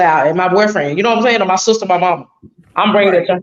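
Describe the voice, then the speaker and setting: This is a woman speaking. Her pitch is medium. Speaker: podcast guest. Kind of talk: casual chat. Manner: fast.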